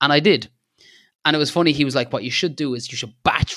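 A man with an Irish accent speaks in a bright, sharp tone on a very clean recording with a silent background. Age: 30s. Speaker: landscape photographer. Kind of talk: casual interview chat.

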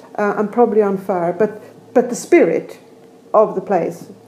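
A woman in a Swedish accent speaks at a moderate pace with fairly high pitch and ordinary pitch variation. Noticeable background noise is present. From Sweden. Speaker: architect and professor. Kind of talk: casual interview conversation. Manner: halting, many fillers.

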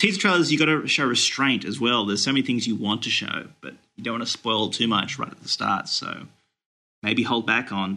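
A man's medium-pitched voice with a bright, sharp tone, lively intonation and a fairly quick pace. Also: big swings in loudness. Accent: Australian. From Australia. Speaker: movie news website editor. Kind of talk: casual chat.

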